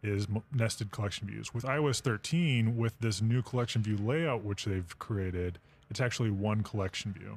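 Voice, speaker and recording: A man with an American accent talks at a moderate pace in a fairly low pitch, with ordinary pitch variation and a normal speaking voice. The recording is very clean, with a silent background. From Texas. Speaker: software developer. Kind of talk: casual panel discussion. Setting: podcast studio at a conference.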